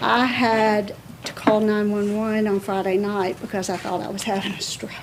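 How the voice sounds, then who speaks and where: The delivery is monotone and flat, at a moderate pace. Noticeable background noise and an audible room echo are present. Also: woman, medium pitch for a woman. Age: 60s. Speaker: resident speaking at public comment. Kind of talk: public comment at city council meeting. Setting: city board meeting.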